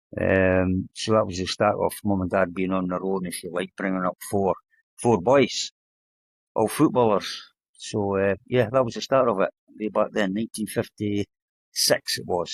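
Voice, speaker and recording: In a very clean recording with a silent background and a dry, close sound with no echo, a man with an Edinburgh accent speaks at a fairly low pitch with fairly even intonation. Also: moderate pace. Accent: Edinburgh Scottish. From Scotland, Edinburgh (Leith/Muirhouse). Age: 70s. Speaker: retired footballer. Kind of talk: interview.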